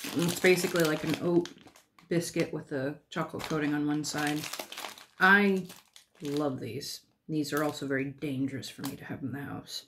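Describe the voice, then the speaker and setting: A woman with an American accent speaks in a very deep, low voice, with fairly even intonation, big swings in loudness, and long, frequent pauses. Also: moderate pace. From St. Louis, Missouri, USA. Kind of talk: casual talk to camera.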